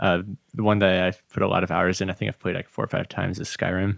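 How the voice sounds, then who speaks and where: A man with a normal speaking voice talks at a fairly quick pace in a fairly low pitch. The recording is very clean, with a silent background and a dry, close sound with no echo. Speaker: electronic music producer. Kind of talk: casual interview chat. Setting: studio.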